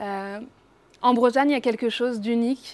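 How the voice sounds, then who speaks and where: Fairly even in intonation, a woman talks on a very clean recording with a silent background. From Brittany, France (Rennes). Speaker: singer. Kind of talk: casual interview. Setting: bar. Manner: hesitant, many fillers.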